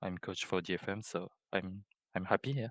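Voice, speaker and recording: A man with a non-native accent speaks in a very deep, low pitch and a bright, sharp tone. The sound is dry and close with no echo, on a very clean recording with a silent background. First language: not English. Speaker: esports coach. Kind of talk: interview. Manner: halting.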